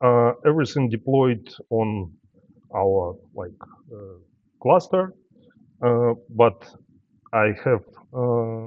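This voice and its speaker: A man with a non-native accent and medium pitch, at a very slow pace, with long, frequent pauses, ordinary pitch variation and big swings in loudness. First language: not English. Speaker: software developer, conference speaker. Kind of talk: tech talk with live demo. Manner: halting, many fillers.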